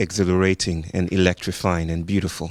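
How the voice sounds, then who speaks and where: Recorded very cleanly against a silent background, a man speaks in a very deep, low pitch. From Nigeria. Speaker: speaker and teacher. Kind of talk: public talk with guided grounding.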